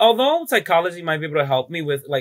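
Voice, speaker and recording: A man in a Spanish accent talks at a fairly high pitch, his pitch varying in an ordinary way. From Dominican Republic, rural small town, moved to New York City at nine. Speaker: drag queen. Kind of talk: casual interview.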